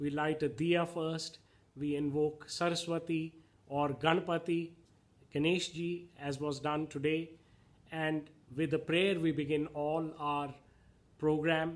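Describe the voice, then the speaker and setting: A man's fairly high voice, monotone and flat, at a very slow pace with long, frequent pauses. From India. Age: 60s. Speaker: spiritual channel host. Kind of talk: reflective monologue.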